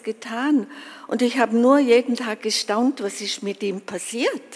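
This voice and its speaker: A woman speaks at a very slow pace with a fairly high pitch and ordinary pitch variation. Noticeable background noise runs underneath. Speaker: conference attendee, grandmother. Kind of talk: personal testimony.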